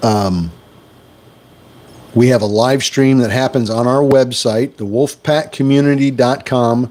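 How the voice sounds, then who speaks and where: An American accent, a fairly slow pace with long, frequent pauses, and ordinary pitch variation. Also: man, medium pitch for a man. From US Midwest, Wisconsin. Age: 60s. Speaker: stock trading livestreamer. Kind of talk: live stream chat.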